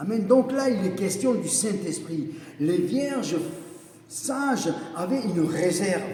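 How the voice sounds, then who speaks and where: Over noticeable background noise and audible room echo, a man with a high pitch speaks very slowly with lively intonation and long, frequent pauses. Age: 60s. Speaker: evangelist preacher. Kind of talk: sermon. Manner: repetitive, emphatic.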